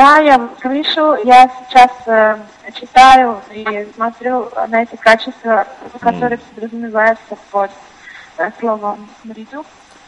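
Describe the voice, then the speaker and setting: Noticeable background noise surrounds a woman speaking at a fairly high pitch and a fairly slow pace. Her intonation is fairly even, but her loudness swings widely. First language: Russian. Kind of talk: casual chat.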